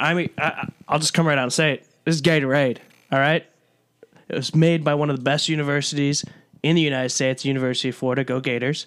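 In an American accent, a man with a fairly high pitch talks at a very fast pace in a monotone with flat intonation. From US Midwest, Chicago suburbs (DuPage County). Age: 20s. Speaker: podcast co-host, broadcast journalism graduate. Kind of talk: casual chat.

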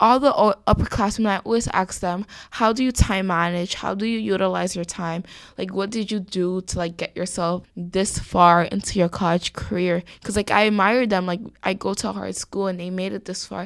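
Speaking at a moderate pace in a New York accent, a woman with a medium pitch keeps her intonation fairly even on a very clean recording with a silent background. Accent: New York (Bronx) English. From New York City, the Bronx. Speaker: college student. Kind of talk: casual chat.

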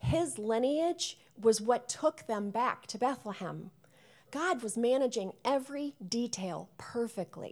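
At a fairly slow pace, an ordinary speaking voice carries lively intonation. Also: woman, fairly high pitch for a woman. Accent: American. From US Midwest, Chicago suburbs. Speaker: guest preacher. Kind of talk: sermon.

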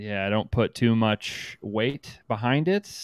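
Lively intonation marks this man's medium-pitched voice, an ordinary speaking voice. The recording is very clean, with a silent background and a dry, close sound with no echo. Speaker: podcast host. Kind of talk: casual comedic banter.

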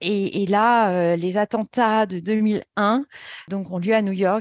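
Against a quiet background, a woman speaks at medium pitch with fairly even intonation, the sound dry and close with no echo. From Paris, France. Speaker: yoga therapy trainer. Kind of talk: interview.

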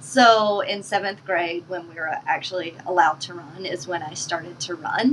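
A woman's fairly low voice with ordinary pitch variation, big swings in loudness, and a moderate pace with hardly any pauses, over noticeable background noise. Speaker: marathon runner and PhD student. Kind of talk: casual interview. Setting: studio, in person.

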